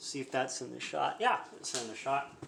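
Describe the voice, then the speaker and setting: The speech comes at a moderate pace with audible room echo. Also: man. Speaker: home cooking streamer. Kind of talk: cooking tutorial livestream. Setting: live stream at home kitchen. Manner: halting, stumbling over words.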